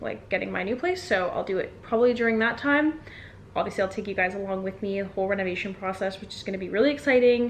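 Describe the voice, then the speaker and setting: A woman talks at a very fast pace, her medium pitch showing ordinary variation. Noticeable background noise runs beneath her. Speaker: lifestyle vlogger. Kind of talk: casual vlog talk to camera.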